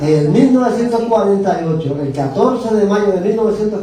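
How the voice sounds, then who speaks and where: Audible room echo and noticeable background noise. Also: man. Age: 70s. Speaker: bible teacher. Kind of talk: lecture.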